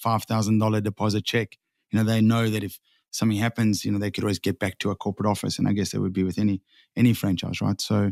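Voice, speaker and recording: A man with a South African accent speaks at a very fast pace and fairly low pitch in a monotone, flat delivery, the sound dry and close with no echo in a very clean recording with a silent background. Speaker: sign franchise owner. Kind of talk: podcast interview. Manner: hesitant, repeats words.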